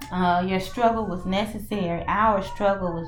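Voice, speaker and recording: With a Mississippi accent, a woman speaks at a medium pitch and a moderate pace with fairly even intonation. Audible room echo and noticeable background noise come through. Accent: Southern US (Mississippi). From US South, Mississippi. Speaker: spiritual reader and coach. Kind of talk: channeled oracle and tarot message. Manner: halting, with frequent fillers and restarts.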